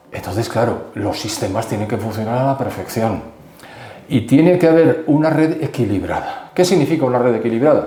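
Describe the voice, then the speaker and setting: Over noticeable background noise and audible room echo, a man speaks at a fairly quick pace with lively intonation. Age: 70s. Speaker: expert commentator. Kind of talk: interview.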